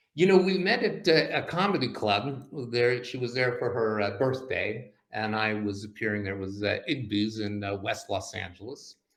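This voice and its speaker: A man's medium-pitched voice at a moderate pace, with lively intonation and audible room echo. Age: 60s. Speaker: comedy magician. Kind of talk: casual chat. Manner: halting, many fillers.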